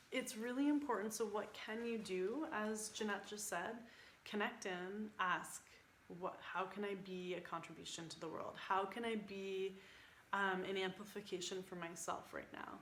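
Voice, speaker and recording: A woman's medium-pitched voice with ordinary pitch variation, with audible room echo. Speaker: spiritual coach. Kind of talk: group video call talk. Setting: online group call. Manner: animated.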